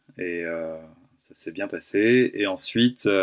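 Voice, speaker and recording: At a very slow pace, a man talks in a fairly low pitch with fairly even intonation. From Brittany, France (Fougères). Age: 30s. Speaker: teacher and volunteer radio host. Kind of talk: interview testimony. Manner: halting, many fillers and repetitions.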